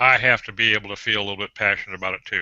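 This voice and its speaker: Background noise stands out noticeably while a man talks. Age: 60s. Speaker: copywriter. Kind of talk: casual hangout chat.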